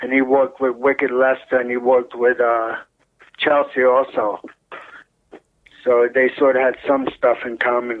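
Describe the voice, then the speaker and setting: With long, frequent pauses, a man speaks at a moderate pace in a monotone, flat delivery at a medium pitch. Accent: New York. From New York, Brooklyn (Williamsburg). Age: 60s. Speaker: retired butcher, brother of a rock drummer. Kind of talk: interview. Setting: phone call.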